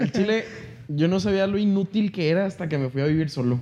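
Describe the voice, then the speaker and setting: A man talks at a fairly quick pace, his pitch high with ordinary variation. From northern Mexico, Chihuahua. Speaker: musician. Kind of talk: casual chat.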